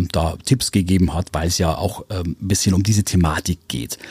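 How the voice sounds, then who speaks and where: Recorded very cleanly against a silent background, with a dry, close sound and no echo, a man speaks at a moderate pace in a dark, mellow tone that is somewhat breathy. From Upper Palatinate, Bavaria. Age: 50s. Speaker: radio morning show host. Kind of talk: casual interview. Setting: studio.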